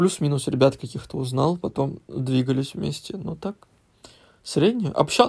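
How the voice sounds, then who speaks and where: A man with a fairly high, somewhat breathy voice speaks at a moderate pace with lively intonation. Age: 20s. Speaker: podcast guest, host's husband. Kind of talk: casual chat.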